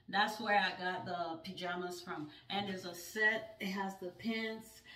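Her tone is bright and sharp, and her intonation fairly even. The woman talks at a fairly slow pace, with audible room echo. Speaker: home decor vlogger. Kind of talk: casual vlog chat.

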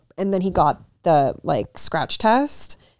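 A woman speaks at a medium pitch with an American accent. The sound is dry and close with no echo, and the recording is very clean over a silent background. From Utah. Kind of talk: casual chat.

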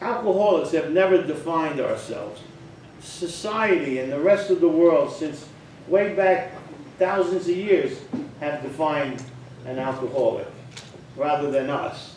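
Amid audible room echo and light background noise, a man with a high pitch talks at a fairly slow pace with ordinary pitch variation and long, frequent pauses. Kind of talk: casual talk to an online group. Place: home room.

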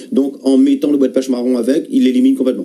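A man talks at a very fast pace. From Réunion. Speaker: herbal tea healer; guest. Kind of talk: radio call-in advice. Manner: halting. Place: studio.

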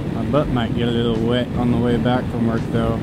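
Loud background noise surrounds a man who speaks very fast. His voice is dry, with no echo. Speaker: motorcycle vlogger. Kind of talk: casual vlog chat. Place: motorbike. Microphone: helmet.

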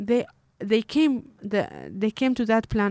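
Fairly slow and fairly high in pitch, a woman with a Kurdish accent is heard dry and close with no echo. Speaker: animal rights activist. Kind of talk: interview.

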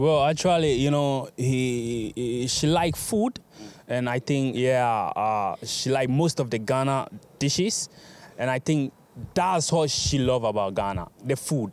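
Keeping a fairly slow pace and very even loudness, a man speaks with ordinary pitch variation in a dry sound with no echo. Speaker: interviewee. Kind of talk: interview answer. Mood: relaxed, friendly. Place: street. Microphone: handheld.

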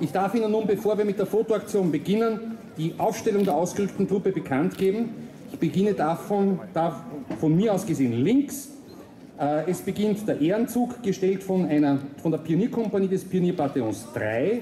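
The voice moves at a moderate pace. Audible room echo and light background noise are present. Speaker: military ceremony announcer. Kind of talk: formal announcement. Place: street.

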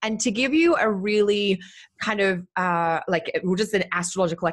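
Over a quiet background, a woman with an Australian accent speaks in an animated tone at a moderate pace with ordinary pitch variation. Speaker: astrologer. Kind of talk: casual chat. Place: home room. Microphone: studio mic.

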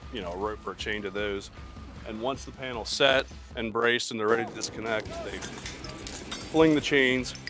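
At a moderate pace and a fairly low pitch, a man talks with ordinary pitch variation in a dry sound with no echo while clear music plays in the background. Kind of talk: interview answer. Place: factory.

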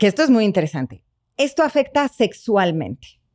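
A woman speaks at a moderate pace with vocal fry and very wide pitch swings. The background is quiet. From Mexico. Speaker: psychotherapist; guest. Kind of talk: interview conversation. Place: studio. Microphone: studio mic.

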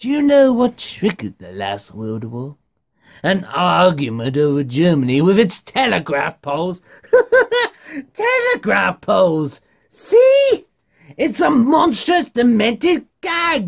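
A man uses a put-on character voice pitched high. He talks at a fairly slow pace. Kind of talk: theatrical monologue acting. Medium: solo performance. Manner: mocking, manic, rising to frantic.

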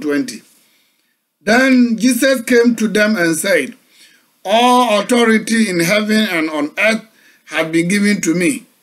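A man's high-pitched voice with a Ghanaian accent, lively intonation and a very slow pace. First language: Akan. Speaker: pastor. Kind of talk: sermon. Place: home room. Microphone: webcam.

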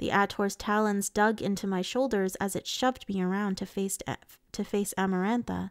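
Unforced voice reading aloud

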